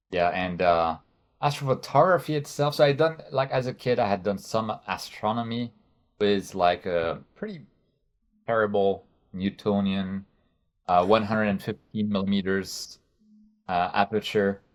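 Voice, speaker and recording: The speaker has a French accent and a moderate pace with ordinary pitch variation. Long, frequent pauses break up the speech on a very clean recording with a silent background. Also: man, fairly low pitch for a man. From France. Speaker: astrophotography YouTuber. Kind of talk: interview. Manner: halting.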